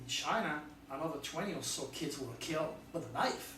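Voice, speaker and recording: The pace of this man's speech is fairly slow. Room echo is audible. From France. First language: French. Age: 60s. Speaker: astrologer. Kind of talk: video monologue. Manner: animated.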